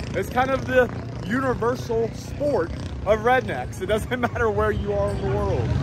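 Against noticeable background noise, a man speaks at a moderate pace with very wide pitch swings, the sound dry with no echo. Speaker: car vlogger. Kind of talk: casual vlog chat. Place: open country. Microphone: phone near.

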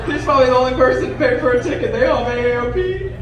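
A man talks at a very fast pace over loud background noise. His voice carries an audible room echo. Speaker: stand-up comedian. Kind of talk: stand-up comedy set. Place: stage.

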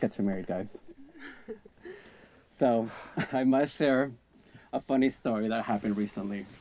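A man speaks at a fairly low pitch with a dark, mellow tone. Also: ordinary pitch variation, fairly slow pace.

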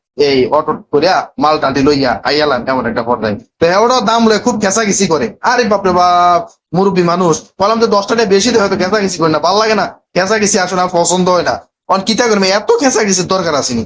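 This voice has a Cumilla accent and lively intonation. Its loudness stays very even throughout. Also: man, high pitch for a man. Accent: Cumilla regional Bengali dialect. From Bangladesh, Cumilla. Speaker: vlogger and motivational YouTuber. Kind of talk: travel vlog narration. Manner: casual, chatty.

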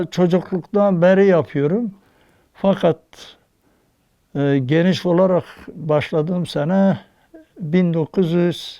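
Pitched high for a man, this voice has a dark, mellow tone, ordinary pitch variation and very even loudness. He talks at a very slow pace with long, frequent pauses. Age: 80s+. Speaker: wood carver. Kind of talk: interview answer.

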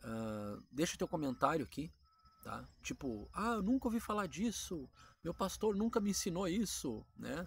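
A man with a high voice speaks at a moderate pace, his pitch swinging very widely, in a dry recording with no echo and light background noise. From Brazil. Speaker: Bible teaching YouTuber. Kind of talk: casual Bible teaching monologue. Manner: conversational, informal. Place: garden. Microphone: phone near.

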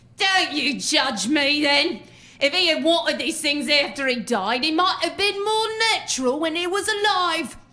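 Putting on a character voice, a woman uses a high pitch, a bright, sharp tone and lively intonation. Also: fairly slow pace.

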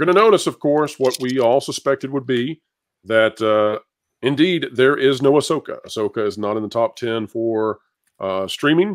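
In a plain, everyday voice, the speaker talks at a moderate pace with ordinary pitch variation, the sound dry and close with no echo. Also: man. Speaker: entertainment news YouTuber. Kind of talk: panel discussion. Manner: polished.

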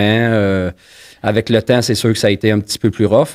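Over a quiet background, the speaker talks at a moderate pace with monotone, flat intonation. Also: man. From Montreal, Quebec (Saint-Henri); Quebec. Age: 50s. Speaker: former inmate telling his story; podcast guest. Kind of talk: testimony. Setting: studio. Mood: calm, reflective personal story. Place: studio. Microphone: studio mic.

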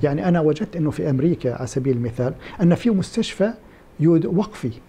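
His voice is high-pitched for a man, with lively intonation. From Kuwait (Palestinian family). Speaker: Islamic endowments expert; podcast guest. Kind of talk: interview. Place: office. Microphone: lapel.

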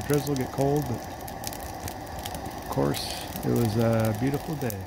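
There is noticeable background noise, and the sound is dry with no echo. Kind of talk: casual vlog chat. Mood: relaxed, content. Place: forest. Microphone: phone near.

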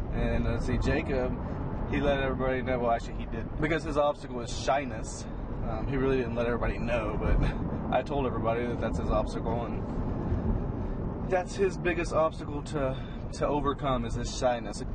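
A man at a very fast pace, with a dry sound and no echo, against loud background noise. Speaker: family vlogger. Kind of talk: casual vlog chat. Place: car. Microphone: phone near.

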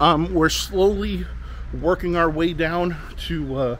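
A man talks over light background noise. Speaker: toy hunting vlogger. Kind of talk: casual vlog chat. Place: street. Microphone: phone near.

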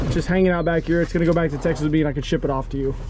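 Over noticeable background noise, the speech runs very fast in a dry sound with no echo. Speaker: fishing vlogger. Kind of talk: casual vlog chat. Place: street. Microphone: phone near.

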